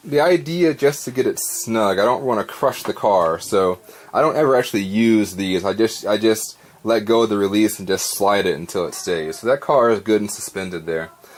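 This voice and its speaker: A man with a fairly low voice speaks while noticeable noise runs in the background. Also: lively intonation, moderate pace. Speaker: hobbyist woodworker. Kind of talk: workshop tutorial to camera. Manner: casual, hesitant.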